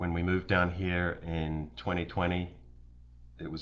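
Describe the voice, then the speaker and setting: With vocal fry and a very deep, low pitch, a man speaks at a moderate pace with fairly even intonation. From New Zealand. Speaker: local political candidate. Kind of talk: campaign livestream introduction. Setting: live stream.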